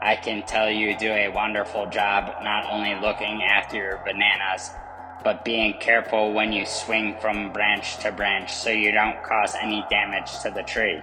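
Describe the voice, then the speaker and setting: A cartoonish character voice pitched low, over loud background noise. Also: moderate pace. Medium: puppet. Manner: gentle, encouraging.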